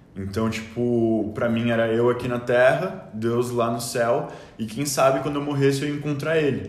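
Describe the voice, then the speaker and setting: Amid audible room echo and noticeable background noise, a man speaks at a medium pitch with fairly even intonation. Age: 19. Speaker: youth leader and university student. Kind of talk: casual chat, faith testimony. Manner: halting, many filler words.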